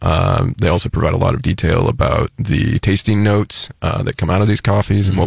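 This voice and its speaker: Against noticeable background noise, a man with a fairly low pitch speaks with ordinary pitch variation. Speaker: coffee shop owner. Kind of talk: radio interview.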